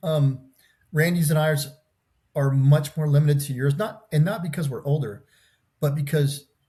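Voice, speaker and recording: At a moderate pace, a man speaks with a dark, mellow tone, a somewhat breathy quality and a fairly high pitch. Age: 60s. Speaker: podcast guest. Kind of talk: casual chat. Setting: video call.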